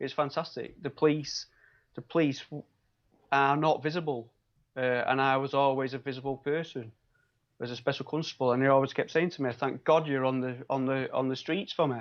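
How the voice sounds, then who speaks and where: In a Manchester accent, the speaker goes at a fairly quick pace with fairly even intonation. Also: man, fairly high pitch for a man. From Manchester, northern England. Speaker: biomedical scientist and local election candidate. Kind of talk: interview. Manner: hesitant, many fillers.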